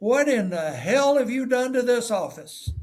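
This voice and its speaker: Doing a put-on character voice, a man speaks at a moderate pace in an extremely high, gravelly pitch with ordinary pitch variation. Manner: accusatory, incredulous.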